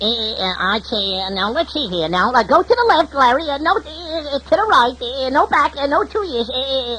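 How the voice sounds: A put-on character voice at a moderate pace with hardly any pauses over clear background noise. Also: man, extremely high pitch for a man.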